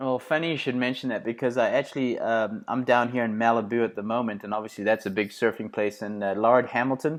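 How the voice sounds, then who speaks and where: Talking at a very fast pace with hardly any pauses, a man with a South African accent keeps a fairly even intonation. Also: medium pitch for a man, quiet background. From South Africa, Johannesburg. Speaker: podcast host and performance coach. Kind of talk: podcast interview.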